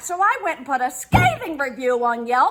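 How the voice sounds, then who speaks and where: A woman puts on a shrill character voice at a high pitch. She speaks at a moderate pace. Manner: loud, complaining.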